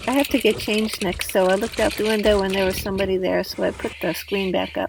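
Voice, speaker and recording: A woman at a very fast pace, medium in pitch with ordinary variation, over noticeable background noise. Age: 60s. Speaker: van life vlogger. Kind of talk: scripted narration. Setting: in a camper van.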